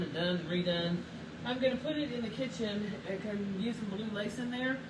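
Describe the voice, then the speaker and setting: Against noticeable background noise and audible room echo, a woman talks at a fairly quick pace with lively intonation. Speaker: paint brand owner demonstrating products. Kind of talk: livestream painting demo. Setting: Facebook live video. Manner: loud.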